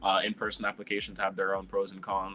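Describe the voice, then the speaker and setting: Noticeable background noise sits under the speech. A man talks at a very fast pace. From Quebec, Montreal. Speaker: animator and illustrator. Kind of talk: panel discussion.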